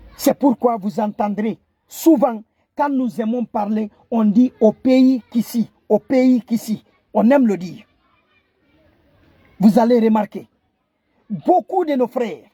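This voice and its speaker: A man speaks very slowly, with long, frequent pauses and crowd noise in the background. His tone is dark and mellow, and his pitch is extremely high. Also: ordinary pitch variation. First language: Kissi (speaking French). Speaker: online commentator. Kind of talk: impassioned video address. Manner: halting, repetitive stammering; impassioned.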